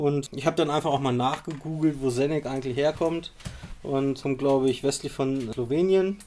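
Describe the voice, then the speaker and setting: With fairly even intonation, a man talks at a fairly high pitch in a dark, mellow tone. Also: moderate pace. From Rostock, northeastern Germany. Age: 30s. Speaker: geocacher and cache builder. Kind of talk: casual chat. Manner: halting, many fillers.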